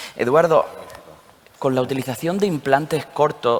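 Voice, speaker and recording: With a slight Andalusian accent, a man talks at a fairly quick pace against noticeable background noise. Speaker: session moderator at dental congress. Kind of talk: panel discussion moderation.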